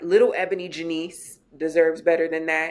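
A woman talks at a moderate pace in a fairly low pitch. Hers is a plain, everyday voice. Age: 40s. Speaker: womanist scholar and educator. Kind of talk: interview conversation.

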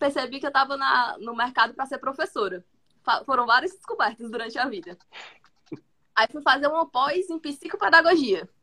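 A raised, projected voice with a bright, sharp tone, lively intonation and big swings in loudness, at a moderate pace with long, frequent pauses. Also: woman. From Brazil, Fortaleza, Ceará. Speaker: product manager, former educator. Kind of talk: casual chat.

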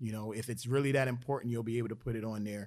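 A man in a Philadelphia accent, medium in pitch, talking very fast with monotone, flat intonation. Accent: Philadelphia American. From US, Philadelphia. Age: 40s. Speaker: Air Force senior enlisted leader. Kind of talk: podcast interview.

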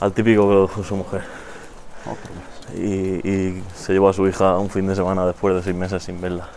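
A man with a very deep, low pitch talks at a moderate pace in a monotone, flat intonation. He leaves long, frequent pauses, and there is noticeable background noise. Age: 20s. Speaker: podcast co-host. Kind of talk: casual chat.

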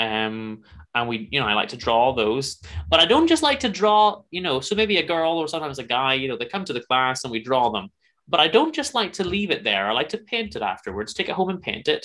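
A man with a Northern Irish accent speaks fairly quickly in a fairly high, bright, sharp voice with very wide pitch swings, on a very clean recording with a silent background. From Northern Ireland. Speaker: podcaster and musician. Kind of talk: casual chat. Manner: halting.

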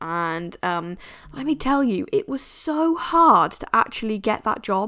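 A woman talks with an English accent and very wide pitch swings. The recording is very clean, with a silent background. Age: 20s. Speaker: podcast host. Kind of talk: casual monologue. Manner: chatty, laughing.

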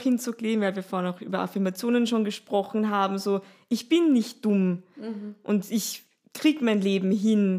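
In a very clean recording with a silent background, a woman speaks in a normal speaking voice at a moderate pace. Her pitch is fairly high and varies in an ordinary way. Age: 30s. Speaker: yoga teacher and sound healer. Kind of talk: casual chat.

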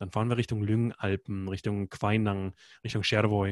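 A man at a very fast pace, in a very clean recording with a silent background and a dry, close sound with no echo. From Germany (Berlin). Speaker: expedition guide. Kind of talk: interview. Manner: hesitant, many filler sounds.

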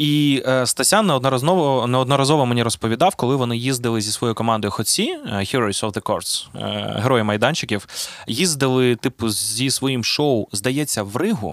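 The pace here is moderate. It is a normal speaking voice, and the pitch rises and falls in an ordinary way. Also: man, medium pitch for a man. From Zaporizhzhia, Ukraine. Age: 30s. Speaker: podcast host and rapper. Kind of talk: casual chat.

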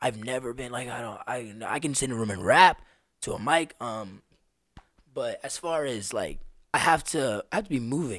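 A man with a plain, everyday voice and an American accent speaks at a moderate pace and a medium pitch. His intonation is lively, and the recording is very clean with a silent background. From Las Vegas, US. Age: 20s. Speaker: street drummer and musician. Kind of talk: casual chat. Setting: studio.

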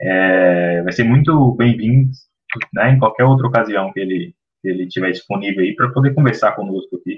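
Lively intonation from a man with a normal speaking voice, medium pitch, and a moderate pace. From Brazil, Minas Gerais. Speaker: co-host, teacher. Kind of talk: casual discussion podcast.

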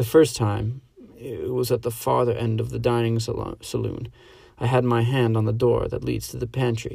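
At a moderate pace, a somewhat breathy voice with a dark, mellow tone speaks in a monotone, flat intonation. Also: man. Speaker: podcast host and college student reader. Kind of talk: dramatic reading of a short story, voicing characters and narration.

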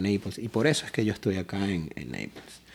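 A man talks with a Caracas accent. His pace is very fast. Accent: Venezuelan Spanish (Caracas). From Venezuela, Caracas. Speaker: food truck owner. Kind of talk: casual interview.

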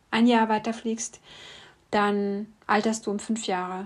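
On a very clean recording with a silent background, a woman speaks at a medium pitch and a fairly slow pace. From East Germany. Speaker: podcast host, singer-songwriter. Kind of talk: personal monologue.

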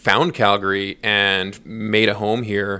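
On a very clean recording with a silent background, a man with a Western Canadian accent speaks in a bright, sharp tone at a fairly low pitch with fairly even intonation. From northern British Columbia, Prince George. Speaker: podcast co-host and agriculture industry worker. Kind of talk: interview, casual chat. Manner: hesitant, many fillers.

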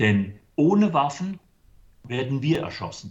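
A man speaks fairly slowly in a somewhat breathy voice. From Germany, Limburg (Hesse). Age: 60s. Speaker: church charity worker. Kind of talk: interview. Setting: video call.

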